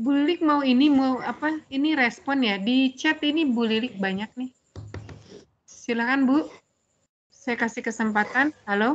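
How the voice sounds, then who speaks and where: At a fairly slow pace, a woman talks in a high pitch with ordinary pitch variation. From Tangerang Selatan, Indonesia; Indonesia. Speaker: moderator. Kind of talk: moderating webinar. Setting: video call. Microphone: video call.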